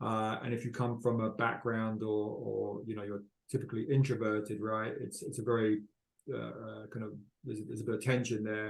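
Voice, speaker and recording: A man with a British accent at a fairly quick pace. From United Kingdom. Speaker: panel moderator. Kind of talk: panel discussion.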